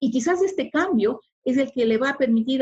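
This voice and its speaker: The woman talks at a moderate pace with lively intonation. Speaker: immigrant sharing experience. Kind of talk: interview. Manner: formal.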